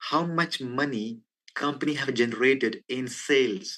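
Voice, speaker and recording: A man talks at a medium pitch, his pitch variation ordinary and the background quiet. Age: 20s. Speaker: company CEO. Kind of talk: business presentation on a video call. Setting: video call.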